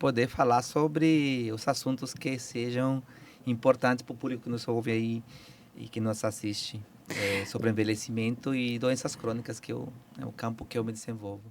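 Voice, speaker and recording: The man's medium pitch holds fairly even intonation as he goes at a fairly quick pace. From Peru. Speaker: biology professor. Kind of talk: interview. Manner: halting.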